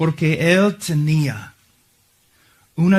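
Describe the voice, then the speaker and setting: A man with an English accent, fairly high-pitched and somewhat breathy, at a very slow pace with ordinary pitch variation. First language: English (speaking Spanish). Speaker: visiting preacher. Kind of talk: sermon. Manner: halting.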